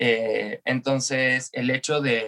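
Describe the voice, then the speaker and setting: A man's bright, sharp tone with fairly even intonation, the sound dry and close with no echo. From Argentina. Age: 30s. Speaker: drag performer and dance teacher. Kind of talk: interview testimony.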